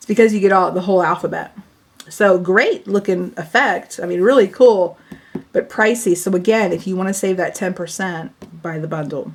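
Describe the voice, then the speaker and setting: A woman speaks in an ordinary speaking voice at a medium pitch and a moderate pace. Her intonation is fairly even, though her loudness swings widely. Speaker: papercraft product demonstrator. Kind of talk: tutorial. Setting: home video recording, camera.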